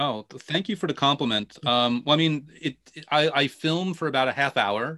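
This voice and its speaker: A man's bright, sharp voice at a moderate pace with ordinary pitch variation, on a very clean recording with a silent background. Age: 40s. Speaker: author. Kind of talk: casual chat.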